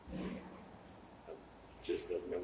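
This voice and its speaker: This is a man speaking. Audible room echo surrounds his voice. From US South, Mississippi. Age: 80s+. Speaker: church member, interviewee. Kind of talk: oral history interview. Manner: halting, many fillers.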